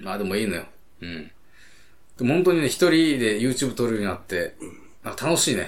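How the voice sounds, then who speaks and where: A man's voice jumps widely in pitch and swings sharply in loudness, with long, frequent pauses. Room echo is audible. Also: medium pitch for a man, fairly quick pace. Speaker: podcast co-host. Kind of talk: casual chat.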